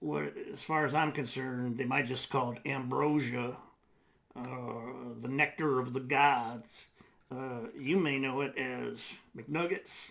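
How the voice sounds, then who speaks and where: Putting on a raspy character voice, a man speaks slowly at medium pitch with fairly even intonation. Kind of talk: comedic web series host monologue. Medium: comedy web series. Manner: folksy, hesitant.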